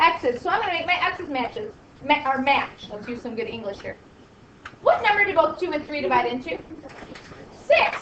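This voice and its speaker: A woman's voice with very wide pitch swings, plus noticeable background noise and audible room echo. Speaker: math teacher. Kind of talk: classroom lecture. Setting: classroom with students.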